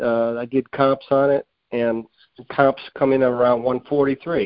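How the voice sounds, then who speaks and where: A man's medium-pitched voice with an American accent, very slow and flat in a monotone. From US Northeast. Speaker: caller. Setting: phone call.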